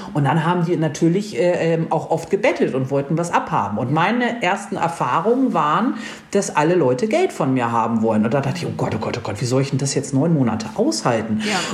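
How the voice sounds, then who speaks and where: A woman's very deep, low voice with very wide pitch swings, fairly quick and with hardly any pauses, amid audible room echo and noticeable background noise. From northern Germany. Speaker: motorcycle traveller. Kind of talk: casual chat. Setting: video livestream.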